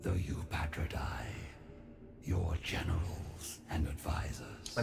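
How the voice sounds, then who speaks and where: Whispering in a put-on character voice, a man speaks at a fairly slow pace with faint music in the background. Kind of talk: epic fantasy game voice acting. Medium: game stream. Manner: formal, deferential, ceremonious.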